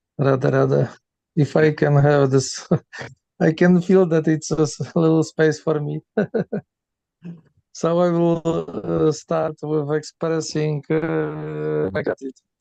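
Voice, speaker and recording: The delivery is fairly slow and fairly even in intonation, with long, frequent pauses, a dark, mellow tone and a dry, close sound with no echo. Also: man, fairly high pitch for a man. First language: not English. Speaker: participant. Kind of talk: question and comment. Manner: halting.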